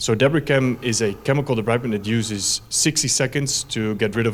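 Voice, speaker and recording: Speaking at a very fast pace with a Dutch accent, a man keeps a medium pitch and ordinary pitch variation. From Netherlands. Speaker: company representative presenting a medical product. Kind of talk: conference presentation. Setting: conference stage. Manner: hesitant, many fillers.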